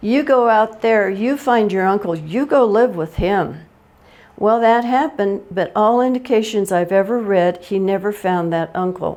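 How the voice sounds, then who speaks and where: This woman speaks at a moderate pace with a Western US accent. Her pitch sits in the medium range, with ordinary variation. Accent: American Western. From Colorado, USA. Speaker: oral history presenter. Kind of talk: oral history talk. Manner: humorous.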